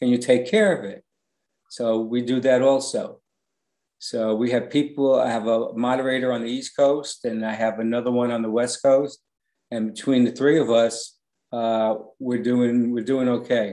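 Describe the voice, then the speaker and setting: In a New York accent, a man talks at a moderate pace with medium pitch, a dark, mellow tone and monotone, flat intonation. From New York City, the Bronx. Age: 60s. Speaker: online fan group administrator. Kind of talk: interview.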